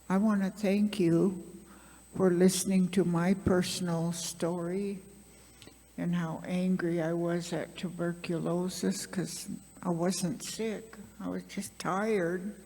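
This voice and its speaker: Very slow, flat, monotone speech from a woman with a fairly low voice, over music in the background. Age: 80s+. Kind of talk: panel talk, personal story.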